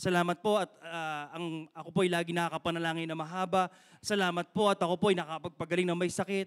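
Against a quiet background, a man talks fairly quickly in an animated tone at a high pitch. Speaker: guest preacher. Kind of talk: sermon. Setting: church with live stream. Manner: animated, exhorting the congregation with repeated call-and-response 'Amen?'; rapid Taglish, mixing English and Tagalog. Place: church. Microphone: handheld.

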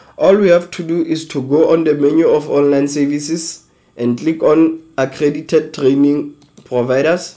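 Over a quiet background, a man with a fairly high pitch and a dark, mellow tone speaks at a moderate pace with fairly even intonation. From South Africa, Free State. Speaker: online educator, channel founder; online educator. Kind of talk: tutorial.

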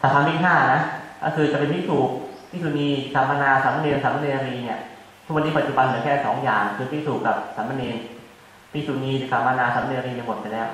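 Strong room echo surrounds a man speaking with fairly even intonation. There is light background noise. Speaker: monk teacher. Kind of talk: sermon. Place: hall.

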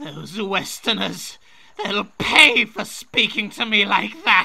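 In a raspy, put-on character voice pitched high for a man, he speaks at a very slow pace. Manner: arrogant, petulant.

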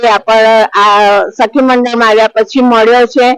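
A woman speaks with ordinary pitch variation. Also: dry, close sound with no echo. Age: 70s. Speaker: women's self-help group leader. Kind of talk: interview testimony.

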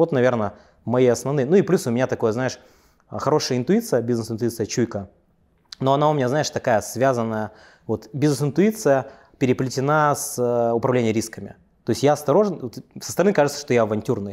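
Quiet background surrounds a man talking. His pace is fairly quick and his pitch variation ordinary. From Russia, Yakutia; Russia. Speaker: entrepreneur; interview guest. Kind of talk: interview. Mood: relaxed, confident storytelling. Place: office. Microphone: lapel.

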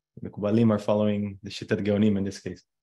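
Over a quiet background, a man talks at a very fast pace in a dark, mellow tone. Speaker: class teacher. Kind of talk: lecture. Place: home room. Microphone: webcam.

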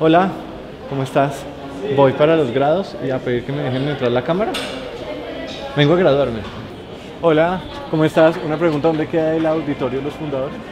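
With noticeable background noise behind him, a man speaks at a fairly quick pace with fairly even intonation and long, frequent pauses. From Cali, Colombia. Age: 30s. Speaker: filmmaker. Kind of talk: casual vlog talk to camera. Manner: talkative.

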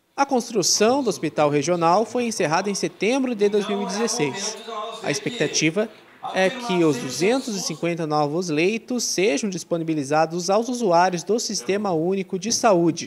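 Noticeable background noise surrounds a man's high voice as he speaks fairly slowly with lively intonation. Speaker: news reporter. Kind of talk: news reading.

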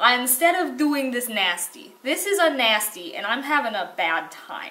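In a raised, projected voice, a woman speaks at a fairly slow pace with very wide pitch swings. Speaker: art video creator. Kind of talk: casual vlog chat. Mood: playful, mock complaining.

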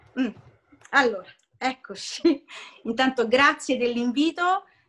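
A woman's raised, projected voice, bright and sharp in tone, with lively intonation at a moderate pace. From Italy. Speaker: voice actor. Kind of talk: interview answer. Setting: video call. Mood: warm, nostalgic storytelling. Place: home room. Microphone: video call.

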